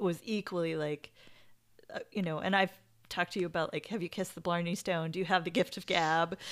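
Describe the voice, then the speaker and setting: Fairly quick and fairly low-pitched, a woman with an American accent speaks in a plain, everyday voice with fairly even intonation. The recording is very clean, with a silent background. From United States. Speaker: podcast co-host, yoga practitioner. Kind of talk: casual chat.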